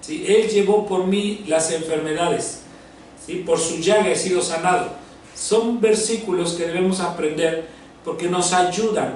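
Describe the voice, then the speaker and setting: Noticeable background noise and audible room echo accompany a high-pitched man speaking at a fairly slow pace with ordinary pitch variation. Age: 60s. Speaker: pastor. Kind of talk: sermon.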